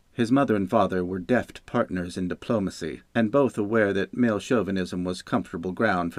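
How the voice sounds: Pitch variation here is ordinary. The speaker uses a natural reading voice.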